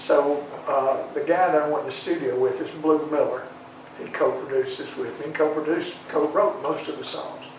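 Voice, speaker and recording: A man speaks in a Southern US accent. The recording has audible room echo and noticeable background noise. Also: moderate pace. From Tennessee, schooled in Alabama. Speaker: singer-songwriter. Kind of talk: interview. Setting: studio. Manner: halting, repeats words.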